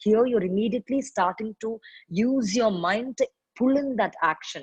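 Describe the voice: A woman talks at a moderate pace with ordinary pitch variation, a slightly mellow tone and a slightly husky edge, in a dry, close sound with no echo.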